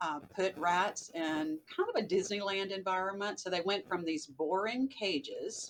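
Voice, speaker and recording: A woman speaks with a Southern US accent. Her pace is moderate and her pitch variation ordinary. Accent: Southern US, still noticeable. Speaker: behavioral neuroscientist and author. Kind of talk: podcast interview.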